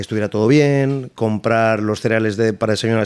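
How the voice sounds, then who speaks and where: At a medium pitch, a man talks fairly quickly with fairly even intonation. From Madrid, Spain. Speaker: chef and restaurant owner. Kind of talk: casual interview.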